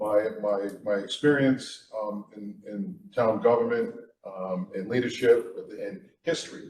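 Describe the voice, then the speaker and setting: This is a man speaking. He has an American accent. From Middletown, Rhode Island, US. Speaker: town council candidate. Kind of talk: candidate forum statement. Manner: halting, many fillers.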